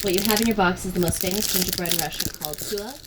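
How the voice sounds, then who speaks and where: The background carries noticeable noise. Over it, a woman speaks at medium pitch with ordinary pitch variation. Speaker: guest co-host. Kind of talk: reading product info card aloud.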